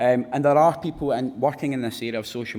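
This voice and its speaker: The speaker has a Glaswegian accent and a fairly quick pace. The intonation stays fairly even. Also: man. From Scotland, Glasgow. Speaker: research fellow. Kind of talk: conference presentation.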